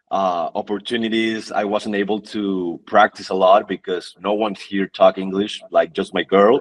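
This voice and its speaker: In a dry, close recording with no echo, a man with a Mexican accent speaks fairly slowly at a fairly low pitch. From northern Mexico (Tijuana, then Monterrey). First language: Spanish. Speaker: fitness athlete and influencer. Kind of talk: podcast interview, personal story. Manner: halting, repeats words.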